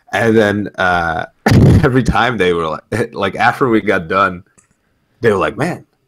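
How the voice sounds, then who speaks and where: Speaking at a fairly slow pace, a man uses lively intonation in a fairly low pitch. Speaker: gaming podcast co-host. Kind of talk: casual chat. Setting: online voice call while streaming. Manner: loud. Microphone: mic cutting out on stream.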